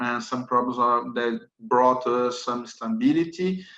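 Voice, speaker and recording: Speaking at a fairly slow pace, a man has a medium-pitched voice. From Brazil. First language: Portuguese. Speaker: lawyer. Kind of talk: webinar presentation. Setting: webinar. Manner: halting.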